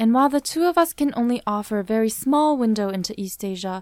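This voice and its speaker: Recorded very cleanly with a silent background, a woman with a fairly high pitch talks very fast with lively intonation. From Vancouver, Canada. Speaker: podcast host. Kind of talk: scripted narration.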